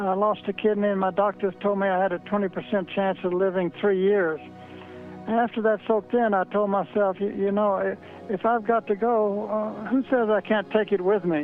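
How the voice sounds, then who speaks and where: A man with an American accent speaks at a moderate pace in a high pitch, his intonation fairly even. His loudness stays very even, with music playing in the background. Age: 80s+. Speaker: treasure hider, art dealer. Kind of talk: interview answer. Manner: hesitant, halting.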